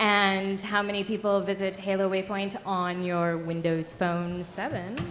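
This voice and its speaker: A woman's fairly slow, monotone, flat delivery, with audible room echo and noticeable background noise. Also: medium pitch for a woman. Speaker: panel moderator. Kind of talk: convention panel presentation. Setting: stage with audience. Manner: joking, casual.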